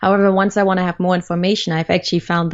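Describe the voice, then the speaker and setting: Her pitch fairly low, the woman talks with a non-native accent. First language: not English. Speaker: community manager and learning developer. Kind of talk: interview.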